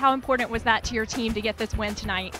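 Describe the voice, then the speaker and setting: Over music in the background, a raised, projected voice moves at a very fast pace with fairly even intonation. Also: woman. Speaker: sports broadcaster. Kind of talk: post-game coach interview question.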